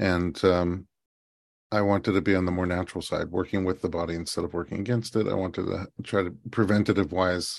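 The background is quiet. A man speaks at a fairly quick pace with fairly even intonation. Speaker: prenatal chiropractor. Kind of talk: interview.

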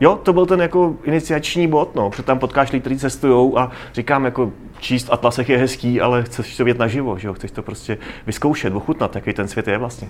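Over noticeable background noise, a man rattles along at a very fast pace, his pitch varying in an ordinary way. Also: medium pitch for a man. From South Moravia, Czechia. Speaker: travel photographer. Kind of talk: interview before live audience. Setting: café with live audience.

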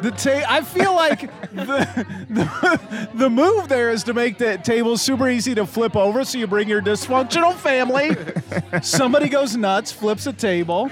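A man's extremely high-pitched voice with lively intonation, a moderate pace and noticeable background noise. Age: 40s. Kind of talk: casual chat.

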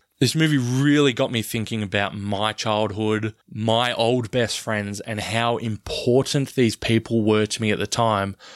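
The delivery is fairly slow with fairly even intonation and hardly any pauses. It is a very clean recording with a silent background and a dry, close sound with no echo. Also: man, medium pitch for a man. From Australia. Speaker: podcast host. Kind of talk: casual chat.

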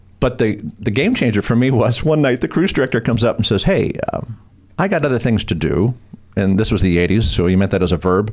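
Speaking at a fairly quick pace with an American accent, a man uses lively intonation at a medium pitch while his loudness stays very even. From Long Beach, California. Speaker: TV host and comedian. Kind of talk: casual chat. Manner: animated.

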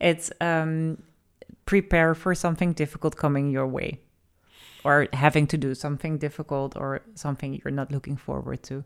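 In a Dutch accent, a woman with a very deep, low voice speaks at a moderate pace with fairly even intonation. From Netherlands. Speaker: podcast co-host. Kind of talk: casual chat.

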